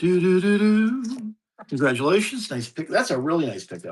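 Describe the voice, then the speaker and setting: This man talks at a fairly slow pace with a high pitch that swings very widely. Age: 60s. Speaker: record seller, former radio DJ. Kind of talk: live online auction. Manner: casual, halting.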